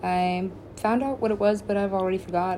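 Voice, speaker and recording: A woman's voice with audible room echo. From Alaska. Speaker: podcaster. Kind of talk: casual monologue. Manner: rambling, fast.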